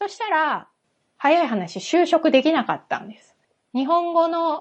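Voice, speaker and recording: The woman takes her time, talking rather slowly. There is little sound behind her. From Japan. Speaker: English coach. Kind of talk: casual chat.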